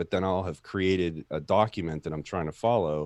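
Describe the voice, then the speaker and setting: A man speaks at a moderate pace in a very deep, low pitch. The sound is dry and close with no echo, in a very clean recording with a silent background. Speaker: tech YouTuber. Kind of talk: casual chat. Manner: monotone.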